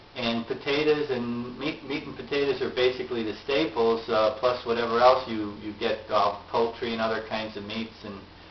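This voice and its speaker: A man with an American accent at medium pitch, moderate pace and fairly even intonation, hardly any pauses, noticeable background noise behind him. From Chicago area, US. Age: 70s. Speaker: family elder interviewed. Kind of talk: family oral history interview.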